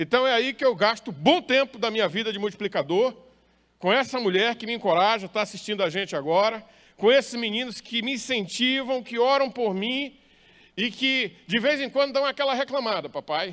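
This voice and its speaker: Man with an extremely high pitch and a northeastern Brazilian accent, on a very clean recording with a silent background. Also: ordinary pitch variation, moderate pace. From northern Brazil, Maranhão. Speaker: pastor. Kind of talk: sermon.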